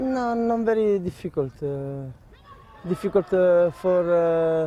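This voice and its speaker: A man with an Italian accent, high-pitched, with lively intonation at a very slow pace. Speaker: footballer. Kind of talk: interview. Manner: halting.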